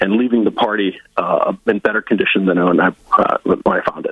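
This man has an Upper Midwest accent. He talks at a fairly quick pace. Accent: Upper Midwest American. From Northwest Iowa (Lyon County). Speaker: political party director. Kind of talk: interview.

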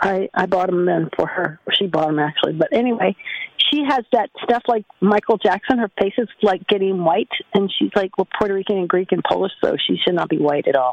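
A plain, everyday voice: a woman with an American accent, medium pitch, lively intonation, fairly quick pace and very even loudness. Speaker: caller. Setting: phone call.

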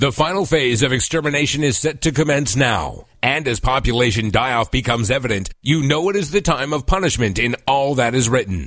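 A man speaks at a fairly quick pace with lively intonation and a medium pitch. It's an unremarkable speaking voice. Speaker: radio newscaster. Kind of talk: news reading. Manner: crisp, formal.

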